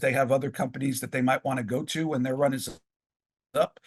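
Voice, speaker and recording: Fairly high in pitch and somewhat breathy, a man speaks with fairly even intonation. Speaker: professional wrestling ring announcer and author. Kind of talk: podcast interview answer.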